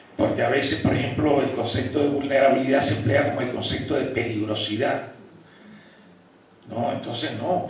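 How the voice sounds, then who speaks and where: A man speaks in a fairly high voice. Both noticeable background noise and audible room echo come through. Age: 60s. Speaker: psychology professor. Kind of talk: lecture. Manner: animated.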